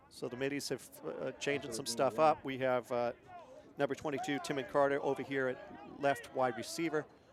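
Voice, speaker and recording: A man's voice, fairly high in pitch, at a moderate pace with ordinary pitch variation, over noticeable background noise. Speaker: play-by-play announcer. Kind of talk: live commentary.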